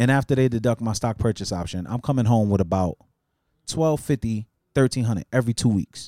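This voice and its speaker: Recorded very cleanly against a silent background with a dry, close sound and no echo, a man talks at a fairly quick pace in a dark, mellow tone at a medium pitch with ordinary pitch variation. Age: 30s. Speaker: podcast host. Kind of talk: casual podcast chat.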